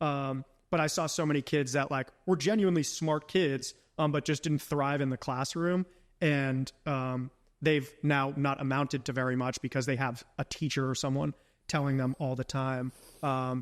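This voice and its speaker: A man with an American accent speaks in a plain, everyday voice at a fairly high pitch and with fairly even intonation. The recording is very clean, with a silent background and a dry, close sound with no echo. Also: moderate pace. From rural upstate New York. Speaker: entrepreneur. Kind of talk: casual chat. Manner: many fillers, um and like.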